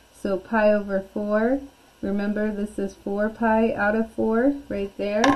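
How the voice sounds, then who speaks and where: Background noise is noticeable throughout. The woman's voice sits at a medium pitch. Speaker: math teacher. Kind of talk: lecture. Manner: loud.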